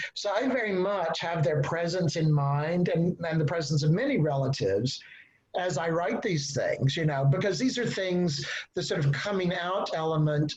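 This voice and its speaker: Audible room echo surrounds a moderate-paced voice with an American accent and ordinary pitch variation. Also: man. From Texas. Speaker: novelist. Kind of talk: panel discussion. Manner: halting.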